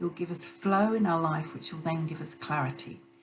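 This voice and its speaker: Room echo is audible as a woman speaks, with noticeable noise behind her. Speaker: intuitive healer and psychic channeler. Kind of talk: spiritual channeling live stream. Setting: Instagram live stream, also recorded. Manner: halting, many fillers and restarts.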